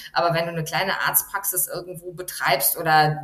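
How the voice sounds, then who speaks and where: Against noticeable background noise, someone talks at a moderate speed. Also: woman. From Germany. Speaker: journalist, foreign correspondent. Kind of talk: interview.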